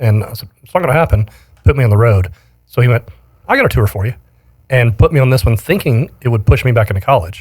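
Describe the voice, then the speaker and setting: With an American accent, a man talks at a very fast pace in a medium pitch, somewhat breathy and with lively intonation. Long pauses come often. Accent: slight Southern accent, mostly trained away. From Alabama, US South. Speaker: live production company owner. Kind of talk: casual interview chat.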